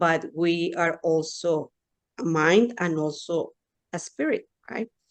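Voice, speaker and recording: A woman with a Mexican accent speaks very slowly, her fairly low voice rising and falling in an ordinary way. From Mexico. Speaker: pediatrician and hypnotherapist. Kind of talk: interview.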